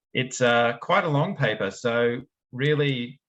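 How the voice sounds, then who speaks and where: Here a man talks. He has a strong Australian accent. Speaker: researcher in quantum error correction. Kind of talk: academic seminar talk. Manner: casual with frequent fillers.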